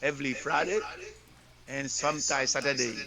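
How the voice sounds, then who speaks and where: Over noticeable background noise, a speaker talks with a French accent. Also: man. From Haiti, Gressier. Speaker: pastor. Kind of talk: interview. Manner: halting.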